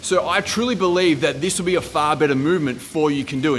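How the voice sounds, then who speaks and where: Over music in the background, a man speaks at a fairly quick pace with lively intonation. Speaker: fitness coach. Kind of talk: casual advice vlog. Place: gym. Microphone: phone near.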